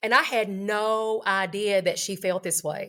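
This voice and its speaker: A woman speaks with an Appalachian accent. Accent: Appalachian Kentucky. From Eastern Kentucky. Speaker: high school teacher. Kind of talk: interview answer.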